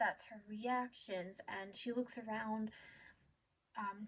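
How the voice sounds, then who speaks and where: A soft-spoken voice at a fairly slow pace. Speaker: animation commentary youtuber. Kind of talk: casual video commentary.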